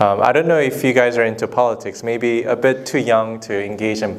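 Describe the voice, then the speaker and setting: A man speaks with a Korean accent. His pitch is medium and his pace is moderate. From South Korea. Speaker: documentary filmmaker, former lawyer. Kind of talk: Q&A with students after screening. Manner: hesitant, many fillers.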